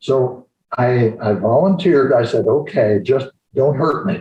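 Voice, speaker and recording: The voice has a dark, mellow tone and is somewhat breathy. Its intonation is lively. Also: man. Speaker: retired-age chiropractor. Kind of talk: storytelling interview. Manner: halting.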